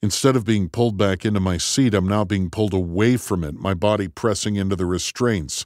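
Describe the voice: Ordinary pitch variation comes through in this plain reading aloud.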